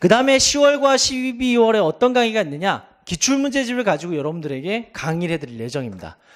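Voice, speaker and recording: Very fast speech with hardly any pauses and very wide pitch swings. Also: man, high pitch for a man. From Gangwon Province, South Korea. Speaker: exam prep instructor. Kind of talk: lecture. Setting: seminar with live audience.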